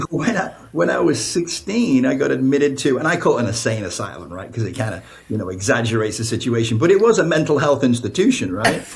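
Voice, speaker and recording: Over noticeable background noise and audible room echo, a man with an American accent talks at a very fast pace, his medium pitch swinging very widely. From northern England, Blackpool. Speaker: author and spiritual counselor. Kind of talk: podcast interview, personal testimony. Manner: conversational, many fillers.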